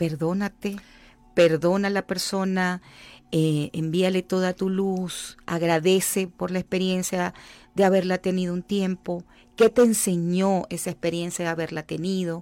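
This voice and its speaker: A woman's plain, everyday voice at a medium pitch, fairly slow and fairly even in intonation, with a dry, close sound with no echo on a very clean recording against a silent background. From Venezuela, Llanos region. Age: 50s. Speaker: life coach and author. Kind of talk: radio interview. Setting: radio studio.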